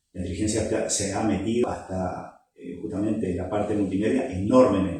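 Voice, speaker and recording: Somewhat breathy, a man speaks at a moderate pace with a dark, mellow tone. His pitch is fairly low, and audible room echo surrounds him. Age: 60s. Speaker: tech YouTuber. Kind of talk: casual monologue. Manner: hesitant, many fillers.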